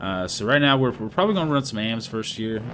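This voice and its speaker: Against noticeable background noise, a man talks in a fairly low pitch with ordinary pitch variation. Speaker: gaming youtuber. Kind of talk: casual gameplay commentary. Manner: fast, casual.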